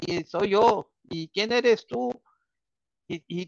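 Recorded dry and close with no echo, a man speaks high with ordinary pitch variation. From Mexico. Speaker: engineering consultant. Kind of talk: casual interview. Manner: halting, many fillers and repetitions.

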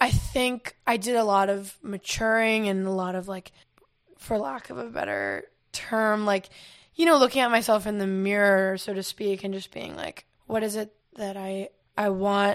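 A woman talks at a moderate pace in an ordinary speaking voice, medium in pitch with ordinary pitch variation. The recording is very clean, with a silent background. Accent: American. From US South. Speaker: singer-songwriter. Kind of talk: casual chat. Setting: in person.

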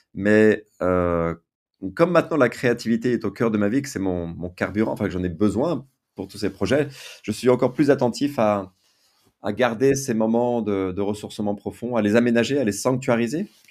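A man at a medium pitch with ordinary pitch variation and a moderate pace, an ordinary speaking voice, on a very clean recording with a silent background. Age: 50s. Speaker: writer and entrepreneur. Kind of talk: testimony.

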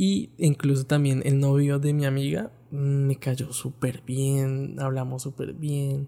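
With a Colombian accent, the voice moves at a very slow pace in a dark, mellow tone and fairly even intonation. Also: man, fairly high pitch for a man. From Colombia, Bogotá. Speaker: podcaster, backpacker. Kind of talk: personal travel storytelling. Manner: casual, conversational.

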